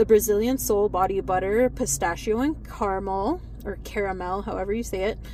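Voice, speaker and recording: A woman with an American accent talks at a moderate pace over noticeable background noise. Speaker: shopping haul vlogger. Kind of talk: casual haul vlog. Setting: in a car. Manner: chatty, many fillers.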